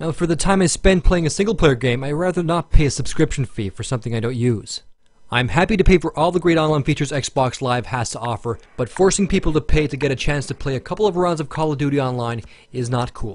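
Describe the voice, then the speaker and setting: A somewhat breathy man's voice, fairly high in pitch, with lively intonation and a very fast pace. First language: Finnish. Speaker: gaming video reviewer. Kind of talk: scripted narration.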